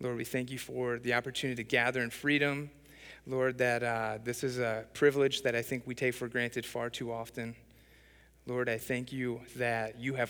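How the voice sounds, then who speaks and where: A man's voice in a very clean recording with a silent background. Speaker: guest preacher. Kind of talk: sermon. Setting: church. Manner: fast talker.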